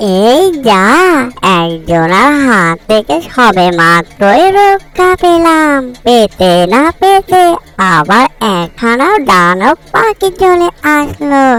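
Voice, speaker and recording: A female-sounding cartoonish character voice, fairly high in pitch, swings very widely up and down. It moves at a very slow pace. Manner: lively, chatty.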